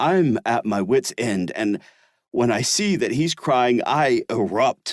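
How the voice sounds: With a quiet background, a natural reading voice is heard.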